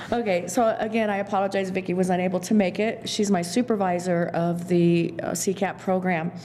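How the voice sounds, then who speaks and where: A woman talks at medium pitch in a monotone, flat intonation, with hardly any pauses. There is noticeable background noise. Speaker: county social services staff. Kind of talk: public meeting presentation. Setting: county board meeting room. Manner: loud; halting.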